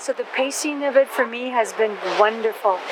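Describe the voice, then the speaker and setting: Noticeable background noise runs under a voice moving at a fairly slow pace with ordinary pitch variation. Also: woman. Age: 70s. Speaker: tour participant. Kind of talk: testimonial.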